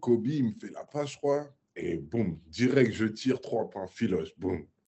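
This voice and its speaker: Vocal fry marks this man's voice as he talks at a fairly slow pace. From Paris, France. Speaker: professional basketball player. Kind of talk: casual interview. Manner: casual slangy, many fillers.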